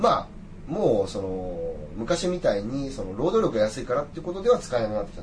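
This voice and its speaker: Over noticeable background noise, a man with a medium pitch talks at a very fast pace, his pitch swinging very widely. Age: 30s. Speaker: businessperson working in China. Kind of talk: casual chat.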